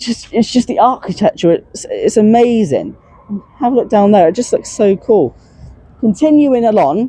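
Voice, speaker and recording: A woman speaks with lively intonation and a fairly high pitch. Her loudness stays very even. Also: moderate pace. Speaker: transport vlogger. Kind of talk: walking vlog commentary. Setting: outdoors. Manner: halting, many fillers.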